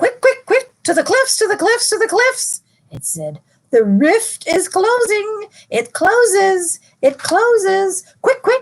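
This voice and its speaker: Using a put-on character voice, a woman hisses at an extremely high pitch and a fairly slow pace. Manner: urgent.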